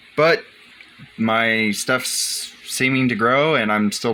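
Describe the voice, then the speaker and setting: Against noticeable background noise, a man speaks at a fairly slow pace in a medium pitch with ordinary pitch variation. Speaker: aquarium hobbyist. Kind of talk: casual video tour. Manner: casual, hesitant.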